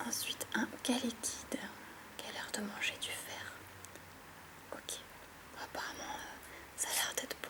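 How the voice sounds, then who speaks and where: Whispering at a fairly slow pace with long, frequent pauses, a woman speaks over noticeable background noise. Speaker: YouTuber. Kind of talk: relaxing ASMR-style Pokémon card opening. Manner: calm, soft-spoken, relaxed.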